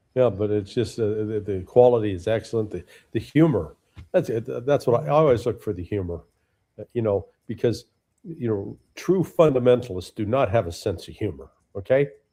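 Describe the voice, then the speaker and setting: A man speaks fairly quickly at a fairly low pitch, his tone dark, mellow and somewhat breathy. His intonation is lively, and the recording is very clean with a silent background. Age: 70s. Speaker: political analyst, former intelligence officer. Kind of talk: casual chat.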